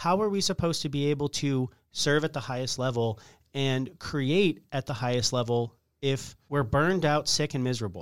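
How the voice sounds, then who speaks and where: In a very clean recording with a silent background, a man speaks with lively intonation at a moderate pace. He has an unremarkable speaking voice and a medium pitch. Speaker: restaurateur. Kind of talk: interview.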